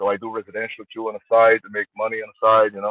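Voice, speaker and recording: A man's medium-pitched voice, very fast and flat in intonation, with a Brazilian Portuguese accent. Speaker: armwrestler. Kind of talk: interview. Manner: halting.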